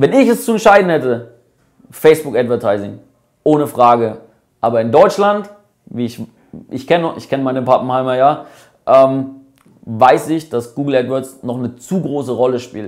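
Against a quiet background, a man speaks at a moderate pace with big swings in loudness and long, frequent pauses. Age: 20s. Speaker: company CEO. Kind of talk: casual vlog explainer. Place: cafe.

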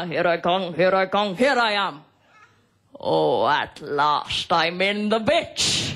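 In a put-on character voice, a man talks high-pitched at a fairly slow pace.

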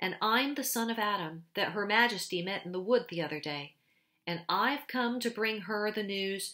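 Natural reading voice, its pitch shifting in an ordinary way.

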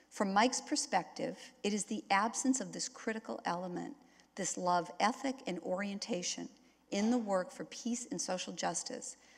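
Against a quiet background, a woman talks at a moderate pace in a somewhat breathy voice. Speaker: keynote speaker. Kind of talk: speech. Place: hall. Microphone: podium.

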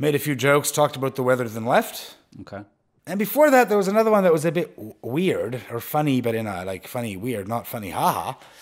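A man talks at a very fast pace with very wide pitch swings. The background is quiet. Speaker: podcast guest. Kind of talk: conversational podcast talk. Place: home room. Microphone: headset.

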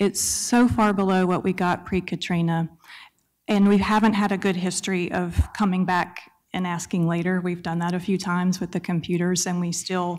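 Against a quiet background, a woman with a Southern US accent and a medium pitch speaks at a moderate pace in a monotone, flat intonation. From Mississippi. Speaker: library system director. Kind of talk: public comment at council meeting. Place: hall. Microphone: podium.

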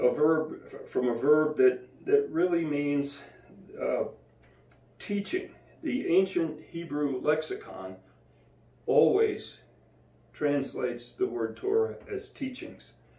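A man at a very slow pace, with long, frequent pauses and audible room echo. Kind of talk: devotional bible teaching. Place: home room. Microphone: camera far.

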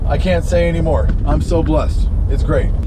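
Behind a man's speech, background noise is clearly audible. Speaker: music reaction vlogger. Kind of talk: casual vlog chat. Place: car. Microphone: phone near.

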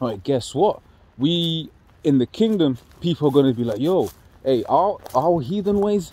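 A man's dark, mellow tone carries lively intonation. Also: dry sound with no echo. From London. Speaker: religious group member leading bible study. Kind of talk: casual bible study discussion. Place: open country. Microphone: phone near.

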